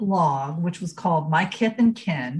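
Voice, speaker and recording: The speaker sounds somewhat breathy. The voice carries an American accent. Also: woman. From rural Ohio, US Midwest. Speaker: genealogy educator and blogger. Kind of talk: casual interview.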